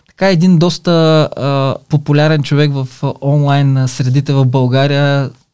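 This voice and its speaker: A man speaks in a fairly high pitch, his dark, mellow tone carried by fairly even intonation. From Bulgaria, Silistra. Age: 50s. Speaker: online business entrepreneur. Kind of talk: casual interview. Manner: halting, frequent fillers.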